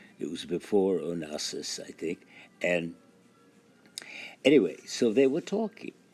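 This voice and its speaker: Music plays behind a man speaking at a fairly slow pace. His pitch is very deep and low. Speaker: actor. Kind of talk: spoken voice message, anecdote. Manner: slow, halting.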